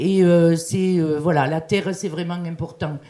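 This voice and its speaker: The voice has a dark, mellow tone and a fairly slow pace. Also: woman. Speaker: business chamber president. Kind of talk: panel speech. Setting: seminar hall with microphone. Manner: hesitant, many fillers.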